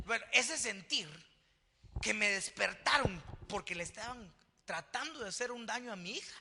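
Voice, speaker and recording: Animated and lively, a man speaks at a moderate pace in a high pitch, with big swings in loudness and long, frequent pauses. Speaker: pastor. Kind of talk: sermon.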